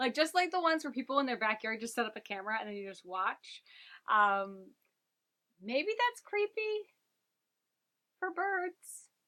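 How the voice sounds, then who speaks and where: A woman with a high pitch uses a raised, projected voice and a bright, sharp tone, swinging very widely in pitch at a moderate pace with long, frequent pauses. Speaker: knitting podcaster. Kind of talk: casual vlog chat. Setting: home room used for filming.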